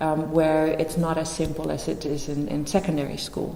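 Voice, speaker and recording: A woman with a Dutch accent talks at a moderate pace, with audible room echo and noticeable background noise. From Netherlands. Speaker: teacher. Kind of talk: presentation.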